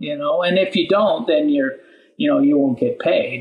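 A man speaks in a high pitch with very wide swings in pitch. He has a Midwestern American accent. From southern Indiana. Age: 70s. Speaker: farmer. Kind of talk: interview.

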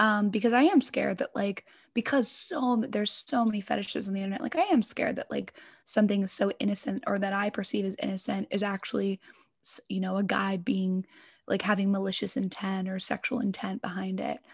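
Over a quiet background, a woman with an American accent speaks somewhat breathily at a medium pitch, fairly quick, with ordinary pitch variation. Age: 20s. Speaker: ASMR content creator. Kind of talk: casual interview chat. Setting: remote call.

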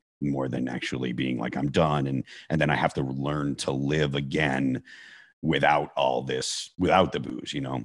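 This man's voice sits very deep and low, with vocal fry throughout. He keeps a monotone, flat intonation at a moderate pace. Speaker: hard rock band vocalist. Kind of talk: interview about recovery.

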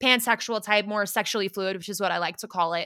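This woman has a bright, sharp tone, an American accent and a medium pitch, with fairly even intonation. The recording is very clean, with a silent background. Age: 20s. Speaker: podcast host and former college lacrosse player. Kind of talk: casual chat.

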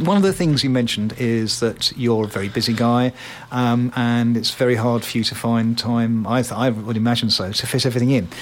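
A man with a medium pitch talks at a fairly quick pace against noticeable background noise. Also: ordinary pitch variation. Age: 60s. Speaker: radio host. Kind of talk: casual chat.

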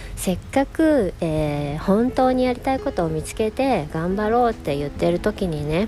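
Over noticeable background noise, a woman talks with hardly any pauses at a medium pitch, her voice making very wide pitch swings. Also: moderate pace. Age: 40s. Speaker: illustrator and podcast host. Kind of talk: casual solo monologue. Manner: frequent laughter.

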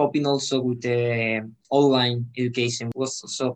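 Medium pitch marks this man's voice, with a Spanish accent. His intonation is monotone and flat. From Spain. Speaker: student representative. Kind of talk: interview. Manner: halting, repeats words.

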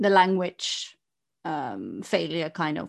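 A very slow pace marks the woman's speech, captured in a very clean recording against a silent background. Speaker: podcast host. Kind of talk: casual chat. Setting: studio microphone.

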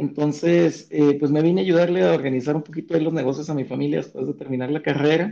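His voice sits fairly high for a man. The pitch shifts ordinarily as this man talks. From Chihuahua, northern Mexico. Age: 30s. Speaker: sotol brand co-founder and economist. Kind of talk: interview. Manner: halting, many fillers.

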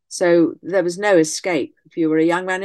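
In a quiet setting, a woman talks at a fairly low pitch. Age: 70s. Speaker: historian and author. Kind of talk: interview. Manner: halting.

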